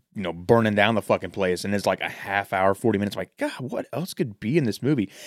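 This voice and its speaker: Recorded very cleanly against a silent background, a man with an ordinary speaking voice and fairly low pitch talks at a fairly quick pace, the sound dry and close with no echo. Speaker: podcast host. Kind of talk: casual banter, movie discussion. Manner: joking, profane, casual.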